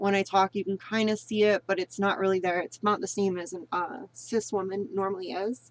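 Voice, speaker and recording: Speaking at a moderate pace, a woman holds a medium pitch. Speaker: voice training vlogger. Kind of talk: tutorial. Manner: casual, halting.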